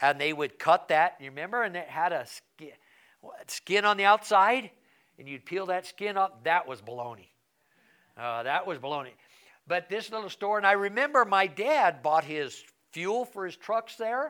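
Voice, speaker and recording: A man's raised, projected voice has a high pitch and a bright, sharp tone. Moving at a moderate pace, it shows very wide pitch swings and big swings in loudness. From Colorado, rural. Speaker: pastor. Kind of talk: Bible study lesson.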